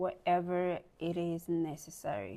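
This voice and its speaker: A woman with a non-native accent speaks at a fairly low pitch in a dark, mellow tone. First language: not English. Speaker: lifestyle vlogger. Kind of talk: motivational talk to camera. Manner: casual, halting with fillers.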